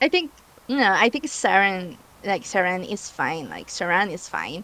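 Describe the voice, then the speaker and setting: A woman with a Spanish accent, medium pitch and a bright, sharp tone, fairly slow, with very wide pitch swings and big swings in loudness. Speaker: guest builder. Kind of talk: casual chat. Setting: livestream.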